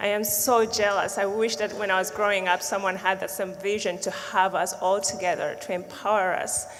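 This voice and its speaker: In a Ugandan accent, a woman speaks at a moderate pace with hardly any pauses, her medium-pitched voice monotone and flat, over noticeable background noise and audible room echo. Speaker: social justice advocate, panelist. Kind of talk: panel discussion.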